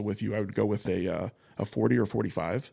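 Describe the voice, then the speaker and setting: A man with an American accent at a very fast pace, with ordinary pitch variation. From Arizona. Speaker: firearms instructor. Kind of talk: casual chat. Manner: halting.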